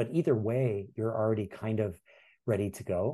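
Over a quiet background comes a somewhat breathy voice with a dark, mellow tone. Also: man. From Hawaii, windward Oahu. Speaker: education advocate and former history teacher. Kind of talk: casual interview.

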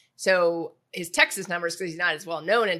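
Fairly quick, fairly low female speech, bright and sharp in tone, with an American accent. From US Midwest, Indianapolis. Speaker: podcast host. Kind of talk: interview.

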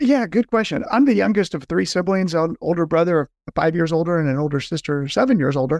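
Talking very fast with hardly any pauses, a man with an American accent uses a high pitch and lively intonation. The sound is dry and close with no echo, over a quiet background. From Southern California. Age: 50s. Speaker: nonprofit fundraising consultant. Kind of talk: podcast interview.

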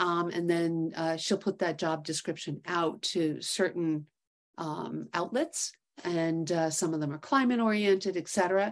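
An ordinary speaking voice carries an American accent. It moves at a fairly slow pace with ordinary pitch variation. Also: woman, fairly low pitch for a woman. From New York City. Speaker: investment executive, startup co-founder. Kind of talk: interview.

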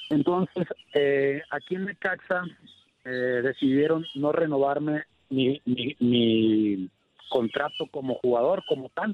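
Very slowly and with ordinary pitch variation, a man speaks at a fairly high pitch. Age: 30s. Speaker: retiring football goalkeeper. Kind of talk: interview. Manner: halting.

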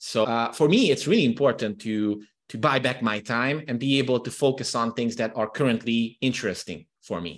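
A man with a Hungarian accent, hardly any pauses in his speech. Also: medium pitch for a man, ordinary pitch variation, moderate pace, quiet background. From Transylvania, Romania (Hungarian minority). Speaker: copywriting consultant. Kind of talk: interview.

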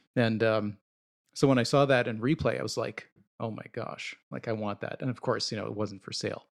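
A man talks at a fairly quick pace with a medium pitch and fairly even intonation. It is a plain, everyday voice. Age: 30s. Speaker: collector and podcast co-host. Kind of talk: casual chat.

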